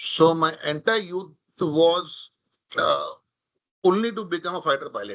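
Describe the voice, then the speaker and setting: A man speaks in a Marathi accent at a fairly slow pace. Long pauses come often. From India, Mumbai. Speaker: corporate leader, talk speaker. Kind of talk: talk with audience, personal story.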